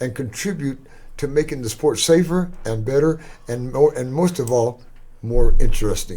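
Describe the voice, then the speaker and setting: A somewhat breathy voice in a Texan accent, at a moderate pace with ordinary pitch variation. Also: man, fairly high pitch for a man. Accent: Texan American. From Texas. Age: 80s+. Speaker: former boxer. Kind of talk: interview.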